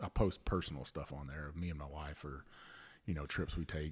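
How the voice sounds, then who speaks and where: A man with a Louisiana accent talks at a fairly quick pace in a very clean recording with a silent background. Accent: Cajun Louisiana. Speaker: podcast host, Coast Guard veteran. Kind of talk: casual chat.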